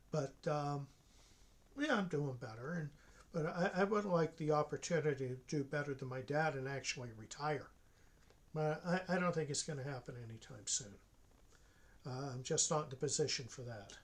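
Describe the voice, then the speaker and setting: The speaker's somewhat breathy voice moves at a moderate pace, broken by long, frequent pauses. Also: man, fairly high pitch for a man, ordinary pitch variation. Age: 60s. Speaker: online college professor. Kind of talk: casual monologue. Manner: hesitant, many fillers.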